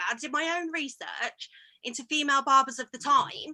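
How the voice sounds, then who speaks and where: In a Coventry accent, a woman uses a raised, projected voice with a bright, sharp tone. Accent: Coventry Midlands. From English Midlands, Coventry. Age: 30s. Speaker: barber. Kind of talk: casual chat. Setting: video call.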